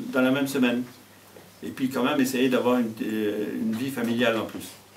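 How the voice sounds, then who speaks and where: There is noticeable background noise and audible room echo. A man talks at medium pitch and a moderate pace with fairly even intonation. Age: 70s. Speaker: mayor, retired teacher. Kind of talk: interview. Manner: hesitant, many fillers.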